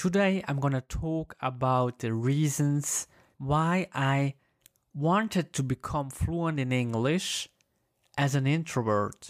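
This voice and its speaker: A man with a Swiss German accent speaks at a very slow pace in a fairly high pitch, with ordinary pitch variation. The recording is very clean with a silent background, dry and close with no echo. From German-speaking Switzerland. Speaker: language learner sharing story. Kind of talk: personal storytelling monologue. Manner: halting, repeats words.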